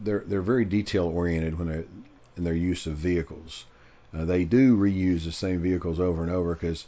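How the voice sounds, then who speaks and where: This man has a very deep, low pitch and a Southern US accent. His pitch variation is ordinary. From US South. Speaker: podcast co-host. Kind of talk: casual chat.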